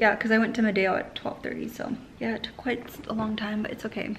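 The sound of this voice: A woman's fairly high voice at a fairly quick pace, with little pitch movement and faint background noise.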